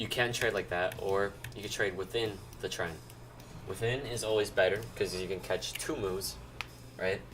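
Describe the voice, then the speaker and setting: Amid noticeable background noise, a man with a fairly low pitch talks with long, frequent pauses. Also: ordinary pitch variation, moderate pace. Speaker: stock options trading streamer. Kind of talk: livestream trading tutorial. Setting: livestream. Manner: loud; casual, filler-heavy.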